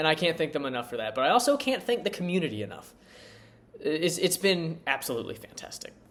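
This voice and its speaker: Over noticeable background noise, a man with a fairly high voice talks at a very fast pace. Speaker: sports YouTuber. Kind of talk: casual thank-you vlog, single take. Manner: halting, many fillers and repetitions.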